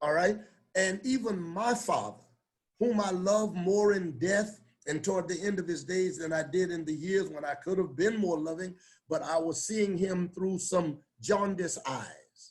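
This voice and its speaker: A man speaks at a moderate pace in a high voice, with ordinary pitch variation. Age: 70s. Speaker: bishop. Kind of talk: panel discussion.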